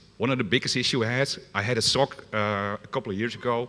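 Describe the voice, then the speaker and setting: This voice has a bright, sharp tone and comes with a Dutch accent. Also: man. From Netherlands. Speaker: security consultant. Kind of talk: conference talk. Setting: stage with audience. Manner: fast.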